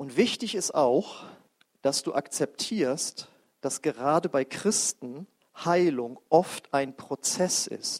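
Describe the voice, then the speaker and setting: A man with a fairly high pitch and a warm tone speaks very slowly with lively intonation, in a dry, close sound with no echo. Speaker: preacher leading a healing service. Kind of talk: sermon and fervent prayer. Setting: church service with congregation. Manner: passionate, declaring prayer, full of conviction; warm, casual, interacts with the congregation.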